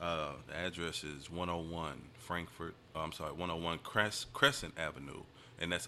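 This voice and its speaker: Speaking at a moderate pace with an American accent, a man uses a very deep, low pitch with ordinary pitch variation. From Decatur, Illinois. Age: 30s. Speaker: barber and shop owner. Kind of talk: casual chat. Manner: casual, repeats 'you know what I'm saying'.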